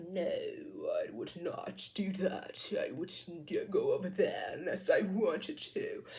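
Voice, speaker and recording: Over light background noise, a man does a put-on character voice at a fairly slow pace with hardly any pauses. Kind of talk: sophisticated. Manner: arrogant.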